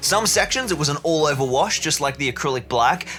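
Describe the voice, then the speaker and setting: A man with a strong Australian accent speaks at a fairly high pitch with ordinary pitch variation. Music plays in the background. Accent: broad Australian. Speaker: hobby and terrain-building YouTuber. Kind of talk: tutorial voiceover. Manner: animated.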